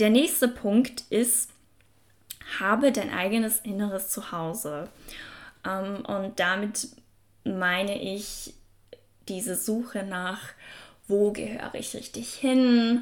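A woman talks at a medium pitch and a very slow pace. Her speech has long, frequent pauses. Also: big swings in loudness. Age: 20s. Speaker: self-help podcast host. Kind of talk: motivational podcast monologue. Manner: casual, filler-heavy.

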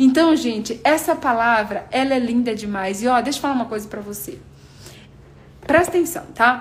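This woman's high voice has lively intonation and big swings in loudness at a moderate pace. Audible room echo surrounds her. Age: 30s. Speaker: preacher. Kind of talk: sermon. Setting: livestream.

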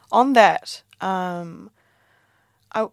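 A woman with a New Zealand accent and lively intonation. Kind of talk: casual interview. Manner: casual, chatty.

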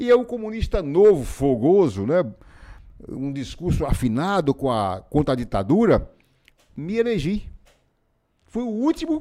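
Here a man speaks with a dark, mellow tone and a high pitch. His pitch swings very widely, and his pace is fairly slow. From Pernambuco backlands, Brazil; raised in Feira de Santana, Bahia. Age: 70s. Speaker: former city councillor and author. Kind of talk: interview. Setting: studio.

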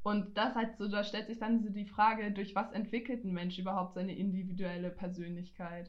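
A woman talks at a fairly quick pace with medium pitch and monotone, flat intonation, and audible room echo surrounds her voice. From Franconia, Germany (Nuremberg). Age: 20s. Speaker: student podcaster. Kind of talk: casual chat.

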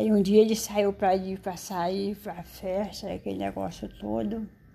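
With a dark, mellow tone and medium pitch, a woman speaks at a fairly slow pace. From Ceará, Brazil. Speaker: storyteller mother. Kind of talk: oral storytelling. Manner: halting.

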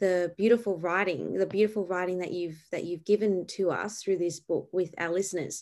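On a very clean recording with a silent background, a woman with an Australian accent speaks at a fairly quick pace in a medium-pitched, flat monotone. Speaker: podcast host and ministry founder. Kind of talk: interview.

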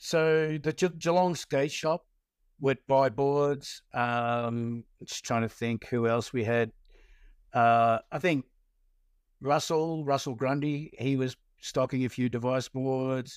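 Recorded very clean with a silent background and a dry, close sound with no echo, a man with an Australian accent speaks at a very slow pace and medium pitch with fairly even intonation. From Victoria, Australia (Melbourne western suburbs). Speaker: skateboarder and skate industry veteran. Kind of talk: casual interview.

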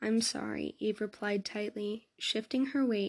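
This is a natural reading voice. Nothing more is heard.

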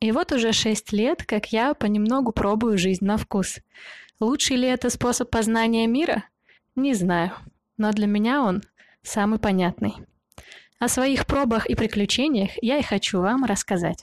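A woman's fairly high voice with ordinary pitch variation, very even loudness and long, frequent pauses, dry and close with no echo in a very clean recording with a silent background. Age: 20s. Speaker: podcast host. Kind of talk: scripted monologue.

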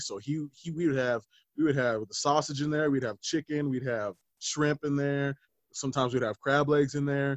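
Fairly high in pitch, a man with an ordinary speaking voice talks at a fairly quick pace with fairly even intonation. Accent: American. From Denver, Colorado. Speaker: chef and musician. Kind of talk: casual interview chat.

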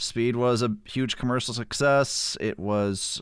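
A man speaks in an animated tone in a very clean recording with a silent background. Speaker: podcast co-host. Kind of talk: casual movie review podcast chat. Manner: animated, joking.

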